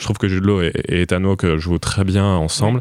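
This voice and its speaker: At a moderate pace, a man speaks with very deep, low pitch and fairly even intonation. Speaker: film podcast panelist. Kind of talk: casual chat.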